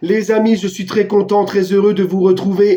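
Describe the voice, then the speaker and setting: His voice sits high. This man talks rather briskly. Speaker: football YouTuber. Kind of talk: casual commentary to camera. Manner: animated.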